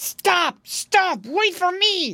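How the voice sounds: A woman's put-on character voice, extremely high and bright, sharp in tone, with big pitch swings at a very slow pace.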